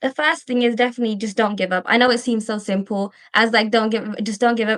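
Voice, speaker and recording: A woman speaks at a very fast pace with a slight Birmingham accent. Her intonation is fairly even. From England, Birmingham. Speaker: dental student. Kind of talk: podcast interview.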